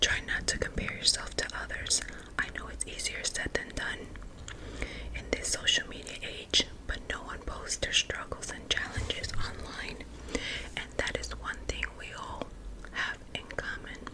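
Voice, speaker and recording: The speaker whispers at a fairly slow pace with long, frequent pauses. Noticeable background noise runs underneath. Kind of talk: ASMR close-up whispered self-help talk. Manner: whispered.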